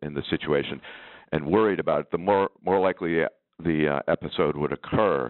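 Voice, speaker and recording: Moderate pacing and ordinary pitch variation from a male speaker. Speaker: biotech entrepreneur. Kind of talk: panel discussion, webinar. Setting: webinar audio.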